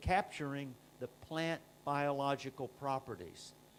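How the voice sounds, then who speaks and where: A man with a plain, everyday voice speaks at a fairly high pitch and a fairly slow pace. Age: 60s. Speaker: company scientist presenting products. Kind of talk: product presentation. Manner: frequent filler uh.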